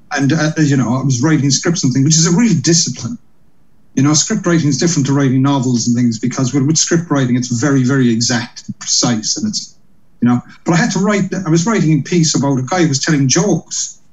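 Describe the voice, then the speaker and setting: A man speaks very fast with a Cork accent, his lively intonation carrying a somewhat breathy quality. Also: fairly high pitch for a man. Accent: Cork Irish. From Ireland, Cork. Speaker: comedian and compere. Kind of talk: casual interview.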